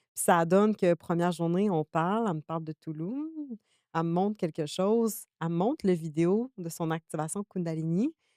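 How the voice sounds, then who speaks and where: In a dark, mellow tone, a woman speaks at a moderate pace with a fairly low pitch and ordinary pitch variation. The sound is dry and close with no echo, against a quiet background. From Quebec. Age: 20s. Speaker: spiritual energy practitioner. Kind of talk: podcast interview. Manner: animated.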